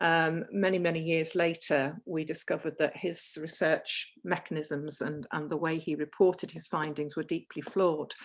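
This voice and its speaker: An ordinary speaking voice moves at a moderate pace with fairly even intonation and hardly any pauses. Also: woman, fairly low pitch for a woman. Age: 60s. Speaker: nurse giving a health talk. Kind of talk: lecture.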